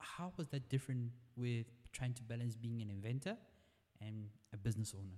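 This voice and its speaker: Somewhat breathy, a man of medium pitch speaks at a fairly quick pace with ordinary pitch variation and long, frequent pauses. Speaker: podcast host. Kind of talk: casual interview.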